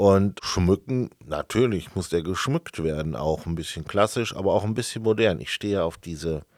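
The recording is very clean, with a silent background. A man speaks with a very deep, low pitch and ordinary pitch variation. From Sauerland, Germany. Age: 40s. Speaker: marketing employee. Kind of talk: casual chat. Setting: studio.

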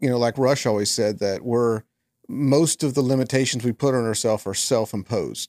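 Dry and close with no echo, a man's ordinary speaking voice sits at medium pitch with fairly even intonation. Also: fairly quick pace. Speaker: podcast host. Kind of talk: casual chat.

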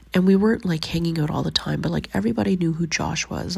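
Very fast and with lively intonation, a woman in a Canadian accent speaks at a very deep, low pitch with a somewhat breathy quality. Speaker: podcast host. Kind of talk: personal monologue.

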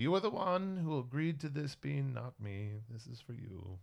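A man puts on a character voice, pitched in the medium range. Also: moderate pace. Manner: scolding.

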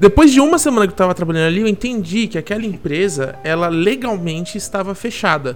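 Over noticeable background noise, a high-pitched man talks at a very fast pace with lively intonation and hardly any pauses. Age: 20s. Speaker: advertising agency worker. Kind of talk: casual chat.

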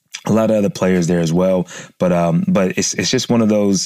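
With an American accent, a man speaks at a very deep, low pitch with ordinary pitch variation. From US East Coast. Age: 30s. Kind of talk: podcast monologue intro. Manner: animated.

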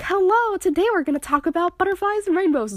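A woman's put-on character voice, extremely high-pitched and very fast. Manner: polished, upbeat.

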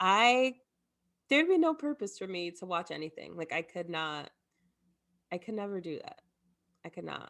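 A woman speaks at medium pitch with very wide pitch swings and big swings in loudness. Long, frequent pauses break up her speech. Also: moderate pace. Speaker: podcast co-host. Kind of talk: casual chat.

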